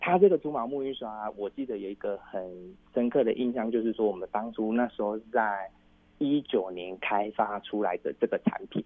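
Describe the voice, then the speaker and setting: A man with a Taiwanese accent speaks at a moderate pace. His pitch is medium, with ordinary pitch variation. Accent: Taiwanese Mandarin. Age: 40s. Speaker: entrepreneur. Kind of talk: interview.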